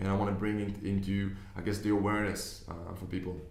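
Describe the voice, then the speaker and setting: In a room with audible echo, a man with a fairly low pitch talks at a very fast pace in a monotone, flat intonation. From Israel, Tel Aviv. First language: Hebrew. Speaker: business investor and online coach. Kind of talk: video monologue. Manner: hesitant, with fillers and repeats.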